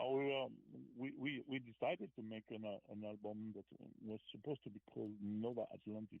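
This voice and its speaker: A fairly quick pace in a French accent. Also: man, medium pitch for a man, fairly even intonation. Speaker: rock musician. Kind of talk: interview. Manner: halting.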